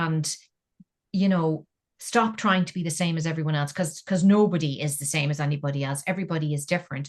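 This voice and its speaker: A woman with an Irish accent, very deep and low-pitched, somewhat breathy, at a very fast pace. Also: ordinary pitch variation. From Ireland. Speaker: engineer, scientist and science communicator. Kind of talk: interview answer.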